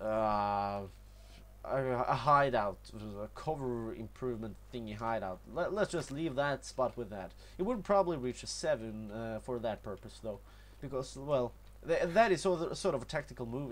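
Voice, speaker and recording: Speaking at a moderate pace, a man talks with a Norwegian accent. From Norway. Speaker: gaming youtuber. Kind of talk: gameplay tutorial commentary. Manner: halting, many fillers and repetitions.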